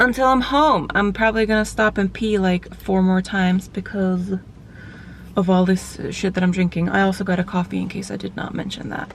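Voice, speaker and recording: A woman at a medium pitch and a fairly quick pace, with fairly even intonation and noticeable background noise. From Finland, Swedish-speaking Vaasa area. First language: Swedish. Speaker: vlogger and bodybuilder. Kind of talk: casual vlog talk. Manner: chatty, filler-heavy.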